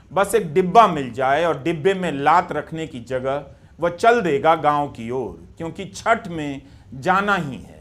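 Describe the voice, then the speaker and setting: This man speaks with a Bihari accent. His fairly high pitch shows ordinary variation. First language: Bhojpuri (speaking Hindi). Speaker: journalist / video essayist. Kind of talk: scripted narration.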